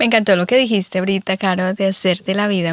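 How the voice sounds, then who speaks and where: An unremarkable speaking voice from a woman, medium in pitch with ordinary pitch variation, in a very clean, dry, close recording with no echo and a silent background. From Colombia. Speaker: podcast host. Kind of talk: casual chat.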